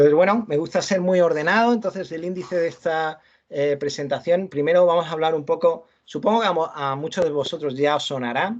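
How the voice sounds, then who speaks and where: This man talks at a fairly quick clip with hardly any pauses, and his pitch is high. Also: ordinary pitch variation. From Andalusia, Almería. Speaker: university lecturer. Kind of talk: lecture. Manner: halting, many repetitions and fillers.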